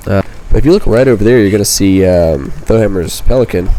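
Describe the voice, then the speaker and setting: Over noticeable background noise and audible room echo, a man talks at a very fast pace. His pitch is fairly low and varies in an ordinary way. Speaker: gaming youtuber. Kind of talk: gameplay tutorial commentary. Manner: casual, many fillers.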